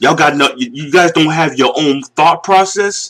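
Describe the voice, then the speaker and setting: With a Northeastern US accent, a man speaks at a fairly quick pace in a high pitch with ordinary pitch variation and an animated tone, in a very clean recording with a silent background. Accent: Northeast US. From US Northeast. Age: 40s. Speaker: video commentator. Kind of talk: casual rant.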